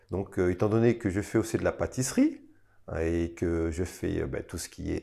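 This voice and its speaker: A man speaks with a dark, mellow tone and lively intonation over a quiet background. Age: 40s. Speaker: restaurant owner and cook. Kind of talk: interview testimony. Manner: hesitant, many fillers.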